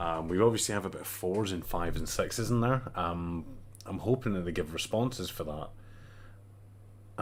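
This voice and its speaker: A man with a strong Scottish accent speaks in a very deep, low pitch. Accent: thicker Scottish. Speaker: gaming community leader presenting survey results. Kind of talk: casual livestream talk. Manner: hesitant, many fillers.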